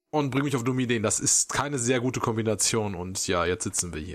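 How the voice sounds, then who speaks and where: A man's normal speaking voice, with lively intonation, at a moderate pace. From Germany. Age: 30s. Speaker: podcast host. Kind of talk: casual chat.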